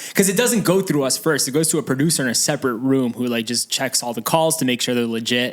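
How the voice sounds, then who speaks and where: A man with an American accent at medium pitch, ordinary pitch variation, a very fast pace and hardly any pauses. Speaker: podcast co-host. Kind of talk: casual chat.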